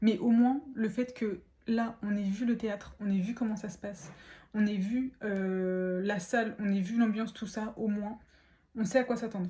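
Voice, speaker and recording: Somewhat breathy and dark, mellow in tone, a woman speaks at a fairly high pitch. Her pace is moderate and her intonation fairly even. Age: 20s. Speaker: lifestyle vlogger. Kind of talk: casual vlog talk. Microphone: poor audio.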